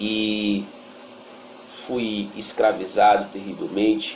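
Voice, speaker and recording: A man talks in a fairly low pitch. Noticeable background noise and audible room echo surround him. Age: 30s. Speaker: former drug addict. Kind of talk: testimony.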